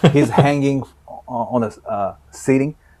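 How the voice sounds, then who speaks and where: A man with a Japanese accent and ordinary pitch variation. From Japan, Osaka. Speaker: DJ. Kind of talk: casual chat. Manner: halting.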